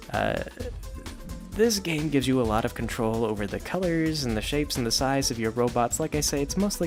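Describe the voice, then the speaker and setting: A man talks at a fairly quick pace with ordinary pitch variation while music plays in the background. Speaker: web comic creator and video game talker. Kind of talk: quiet ASMR-style stream of consciousness talk to camera. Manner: quiet, close-mic, rambling, casual.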